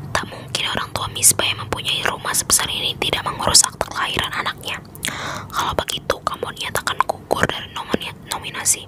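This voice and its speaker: Over noticeable background noise, a woman whispers at a very fast pace. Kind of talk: ASMR bedtime story reading. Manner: whispered, soft-spoken.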